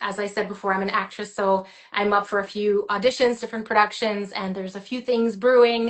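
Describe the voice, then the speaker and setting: With a French accent, a woman talks at a moderate pace and keeps her intonation fairly even. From Quebec, Gatineau. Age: 30s. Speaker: singer and actress. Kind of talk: interview.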